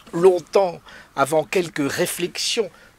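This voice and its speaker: Through noticeable background noise, a man speaks very slowly at a high pitch. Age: 70s. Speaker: author and scholar. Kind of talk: interview. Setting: home library.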